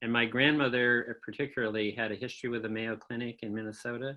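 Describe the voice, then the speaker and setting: A man with a US Midwestern accent at a medium pitch, fairly quick pace and fairly even intonation. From Michigan, US Midwest. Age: 70s. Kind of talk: oral history interview. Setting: video call.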